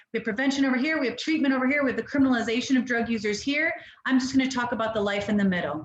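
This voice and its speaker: Amid audible room echo and noticeable background noise, a woman with a high pitch talks very fast. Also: ordinary pitch variation. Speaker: harm reduction nonprofit director. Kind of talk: webinar presentation. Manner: animated.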